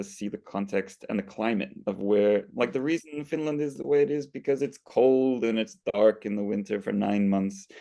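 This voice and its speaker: With an American accent, a man talks at a moderate pace in a fairly low pitch, his tone dark and mellow, with ordinary pitch variation. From United States (Finnish American). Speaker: education graduate student. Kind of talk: casual conversation.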